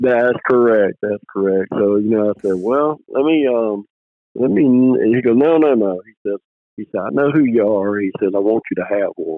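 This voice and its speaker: In a Mississippi accent, a man with a fairly low pitch speaks with big swings in loudness. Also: ordinary pitch variation, moderate pace. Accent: Southern US (Mississippi). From US South, Mississippi (near Picayune). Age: 60s. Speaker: squirrel dog breeder, retired space program worker. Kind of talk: casual interview, storytelling. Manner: animated storytelling, repeats words.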